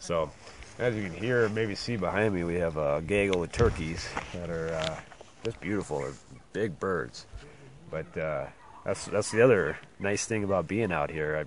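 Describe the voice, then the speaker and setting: A man with a very deep, low pitch speaks with ordinary pitch variation and long, frequent pauses. Noticeable background noise runs under his voice. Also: moderate pace. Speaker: race organizer giving live updates. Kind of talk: outdoor live update report. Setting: outdoors in backcountry. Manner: quiet, hushed; hesitant, many fillers.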